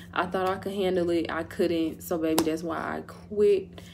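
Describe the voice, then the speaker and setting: Audible room echo surrounds this woman's voice. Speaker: vlogger. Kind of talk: storytime vlog, casual chat. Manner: animated; stuttering.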